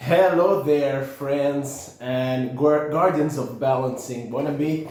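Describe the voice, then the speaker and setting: A man talks at a medium pitch. Noticeable background noise and audible room echo are present. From Italy. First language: Italian. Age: 30s. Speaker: holistic health practitioner. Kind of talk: unscripted presentation talk. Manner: halting, with many fillers.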